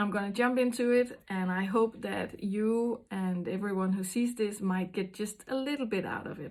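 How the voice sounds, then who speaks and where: Medium-pitched woman with a Danish accent and fairly even intonation, amid noticeable background noise. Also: moderate pace. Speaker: intuitive card reader. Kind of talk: card reading monologue. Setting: small house with door open. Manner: halting, many fillers.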